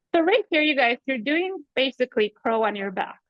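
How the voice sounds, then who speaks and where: The pace stays moderate. This woman has a non-native accent. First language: not English. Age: 40s. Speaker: yoga teacher. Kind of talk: live online yoga class instruction. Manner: animated.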